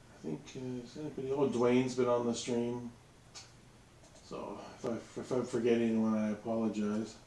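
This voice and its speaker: Mumbling at a moderate pace, a man with a medium pitch and fairly even intonation swings widely in loudness, with audible room echo and noticeable background noise. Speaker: miniature wargaming streamer. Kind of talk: casual live stream chat. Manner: hesitant, many fillers.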